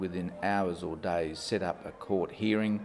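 A man with an Australian accent speaks at a fairly low pitch and fairly slow pace, with ordinary pitch variation and audible room echo. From rural Western Australia. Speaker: retired judge and family law mediator. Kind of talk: interview. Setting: conference.

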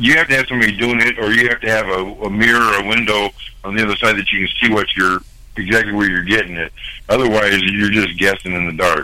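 A man racing along at a very fast pace, fairly low in pitch and fairly even in intonation. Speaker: security guard. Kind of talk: casual chat.

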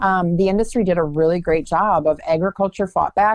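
With a dry, close sound and no echo, an ordinary speaking voice talks with fairly even intonation. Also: woman. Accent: American. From US Midwest. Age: 30s. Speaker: agriculture advocate and speaker. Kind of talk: radio interview.

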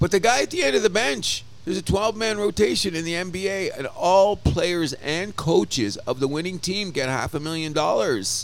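Lively intonation at a moderate pace, with hardly any pauses and music in the background. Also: man, high pitch for a man. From Canada. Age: 60s. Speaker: sports podcast co-host. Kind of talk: casual chat. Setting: bar. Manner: animated.

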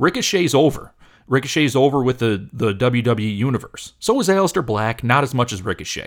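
On a very clean recording with a silent background, a man with an American accent speaks in an unremarkable speaking voice at medium pitch with lively intonation. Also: fairly quick pace. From Michigan. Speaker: wrestling podcast host. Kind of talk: casual chat.

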